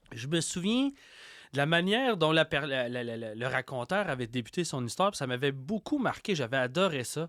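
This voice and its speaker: At a moderate pace with lively intonation, the voice comes through a very clean recording with a silent background and a dry, close sound without echo. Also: man. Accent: Quebec. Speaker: podcaster and horror storyteller. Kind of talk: interview conversation. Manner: hesitant, repeats words.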